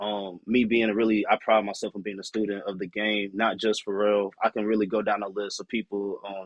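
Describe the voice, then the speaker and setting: With a plain, everyday voice, a man of fairly low pitch talks at a fairly quick pace using fairly even intonation. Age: 20s. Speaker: music producer and artist. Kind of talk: casual podcast chat.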